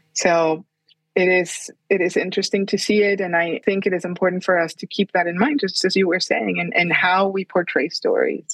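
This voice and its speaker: A woman with a Spanish accent talks at a moderate pace and medium pitch. Her intonation is fairly even, and the sound is dry and close with no echo. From Colombia, Bogota. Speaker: children's book author and illustrator. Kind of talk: interview. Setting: remote call.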